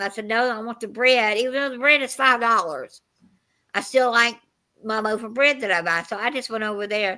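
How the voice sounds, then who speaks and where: This is a plain, everyday voice with an American accent. Its pitch varies in an ordinary way. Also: woman, very clean recording, silent background. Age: 60s. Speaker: live stream host. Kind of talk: casual chat.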